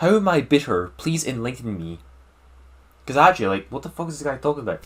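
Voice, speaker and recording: With a Scottish accent, a man talks in very wide pitch swings. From Scotland. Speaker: gaming YouTuber. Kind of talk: casual Q&A monologue. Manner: animated.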